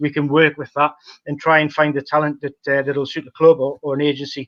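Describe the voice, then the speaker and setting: In a Geordie accent, a man speaks at a fairly quick pace. His fairly high voice stays monotone and flat. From northern England, Newcastle (Geordie). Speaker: football talent analyst. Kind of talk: podcast interview. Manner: halting, many fillers.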